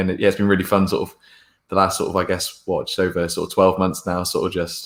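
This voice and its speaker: Over a very clean recording with a silent background, a man speaks at a very fast pace. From England, Bristol. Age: 20s. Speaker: football fan podcaster. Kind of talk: casual interview chat.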